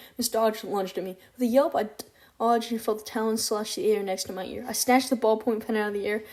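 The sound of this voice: An unforced reading voice comes through with fairly even intonation.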